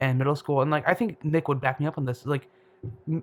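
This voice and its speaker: The recording is very clean, with a silent background. Pitch variation is ordinary. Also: man. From US Midwest, Detroit suburbs, Michigan. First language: Bengali. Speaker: medical student. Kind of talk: casual chat. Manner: halting.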